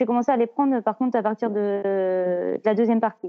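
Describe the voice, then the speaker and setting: At a moderate speed, a woman talks with a fairly high pitch that varies in an ordinary way. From Normandy, France. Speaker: amateur trail runner. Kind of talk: interview.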